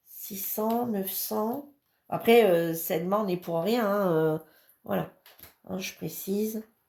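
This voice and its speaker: A woman speaks at a very slow pace with long, frequent pauses. Her tone is dark and mellow. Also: medium pitch for a woman, ordinary pitch variation. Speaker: crafts hobby youtuber. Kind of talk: product review and unboxing. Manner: hesitant, many fillers.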